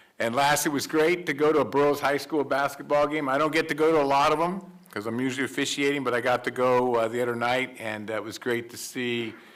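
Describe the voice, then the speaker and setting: Ordinary pitch variation in a man's voice, with noticeable background noise behind it. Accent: American. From Ridgecrest area, California. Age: 60s. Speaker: school board member. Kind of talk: public meeting remarks. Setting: board meeting. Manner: halting.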